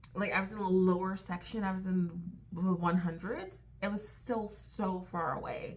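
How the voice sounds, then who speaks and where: A quiet woman with a medium pitch and a somewhat breathy voice. The room echo is audible. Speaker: vlogger. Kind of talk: casual vlog chat. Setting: hotel room at night. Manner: hesitant, many fillers; lowered voice, quiet.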